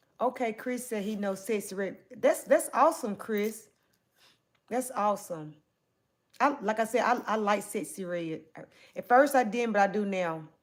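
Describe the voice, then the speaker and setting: Long, frequent pauses at a moderate pace, with ordinary pitch variation. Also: woman, fairly high pitch for a woman. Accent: Southern US. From US South. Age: 40s. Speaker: livestreamer. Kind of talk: livestream chat reading. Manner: casual.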